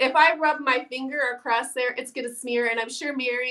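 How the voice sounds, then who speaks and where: Raised and projected, a woman's high voice carries a bright, sharp tone and a Midwestern accent. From Iowa, US Midwest. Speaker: painting teacher. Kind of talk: tutorial.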